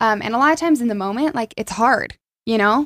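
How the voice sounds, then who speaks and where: A woman speaks with a Utah accent at a fairly high pitch. The recording is very clean, with a silent background and a dry, close sound with no echo. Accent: Utah American. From central Utah (Aurora, small town). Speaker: former college cheerleader. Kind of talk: casual interview chat.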